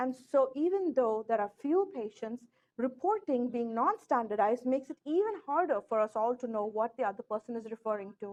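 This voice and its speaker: A woman speaks with a high pitch and lively intonation. The sound is dry and close, with no echo. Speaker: ophthalmologist giving a lecture. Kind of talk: lecture. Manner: fast.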